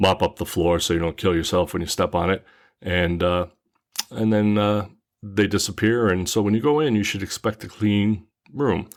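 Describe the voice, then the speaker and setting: A man with a normal speaking voice talks at a fairly low pitch and moderate pace. His pitch varies in an ordinary way, in a very clean recording with a silent background. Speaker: van traveler. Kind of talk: casual podcast talk.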